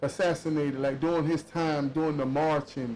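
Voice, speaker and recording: There's a man with an unremarkable speaking voice. His pitch is fairly high and his pace moderate. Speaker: podcast host. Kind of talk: podcast interview questions.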